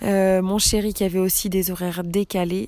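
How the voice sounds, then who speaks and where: A woman's dark, mellow tone in monotone, flat intonation at a fairly slow pace. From Brittany, France. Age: 30s. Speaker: podcaster, former nurse. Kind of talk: personal monologue podcast. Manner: hesitant, many fillers.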